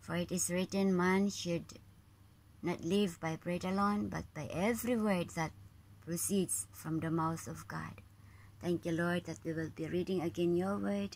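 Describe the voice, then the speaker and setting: Over light background noise, a woman speaks fairly slowly in a fairly low voice with very wide pitch swings. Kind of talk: spoken prayer. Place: home room. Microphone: phone near.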